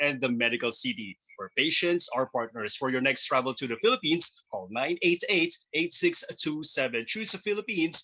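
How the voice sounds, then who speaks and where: A man talks in an upbeat tone with a fairly high pitch. His voice swings very widely in pitch. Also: moderate pace. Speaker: radio host. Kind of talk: show intro and sponsor reads.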